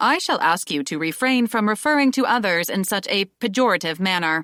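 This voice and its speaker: A female-sounding put-on character voice at medium pitch moves at a fairly quick pace in a very clean recording with a silent background. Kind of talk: formal, stiff. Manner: polite rebuke.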